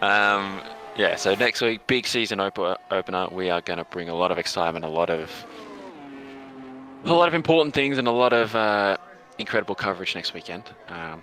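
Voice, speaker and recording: Over noticeable background noise, a man with a fairly low pitch talks at a fairly quick pace with lively intonation. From Australia. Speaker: esports league host and commentator. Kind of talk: live esports commentary chat. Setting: live stream. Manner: animated.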